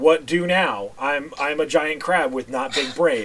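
This man uses a put-on character voice pitched fairly high. He speaks at a fairly slow pace. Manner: dim-witted, simple speech.

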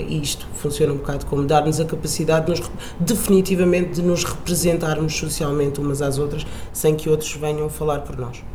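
A woman speaks at a moderate pace in a very deep, low voice. Audible room echo and noticeable background noise fill the recording. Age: 20s. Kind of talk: interview. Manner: hesitant, with fillers.

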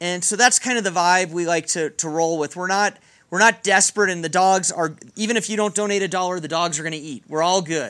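On a very clean recording with a silent background, a man with an American accent speaks at a fairly quick pace in a high pitch, his tone bright and sharp and his intonation fairly even. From Texas, Dallas. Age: 40s. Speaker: animal shelter director. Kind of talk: casual interview.

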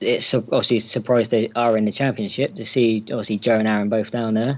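A man with an unremarkable speaking voice talks at a fairly quick pace, with medium pitch and fairly even intonation. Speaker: guest, new podcast panelist. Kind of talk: casual chat. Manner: filler-heavy, repeats 'obviously'.

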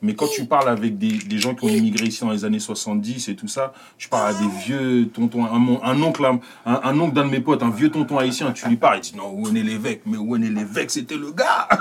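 This man's voice sits at a medium pitch with lively intonation. He keeps a moderate pace. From France, Paris. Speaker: comedian. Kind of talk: casual chat. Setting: studio.

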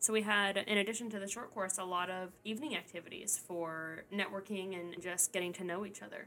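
At a fairly quick pace, a woman with an American accent speaks in an ordinary speaking voice, with medium pitch and fairly even intonation. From Tennessee, US South. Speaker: podcast host and researcher. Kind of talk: casual chat.

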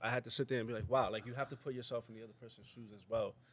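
A man talks in a New York accent. His pace is very fast. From New York, South Bronx. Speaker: podcast co-host. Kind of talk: casual chat.

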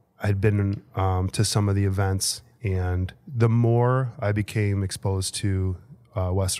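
With a Chicago accent, a man speaks in a fairly low voice with a dark, mellow tone. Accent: Chicago-area American. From Chicago area, Illinois. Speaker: assistant principal. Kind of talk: interview.

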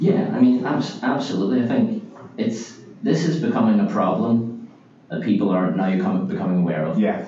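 Amid noticeable background noise and audible room echo, a man with an Irish accent talks at a moderate pace and fairly high pitch, his pitch swinging very widely. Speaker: business development executive. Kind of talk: interview.

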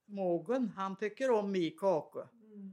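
A woman speaks very slowly at a medium pitch. She has a strong Värmland accent. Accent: strong Värmland accent, taken for Norwegian. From Värmland, Sweden (Svanskog). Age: 90s. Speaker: retired farm woman, mother. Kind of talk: casual conversation.

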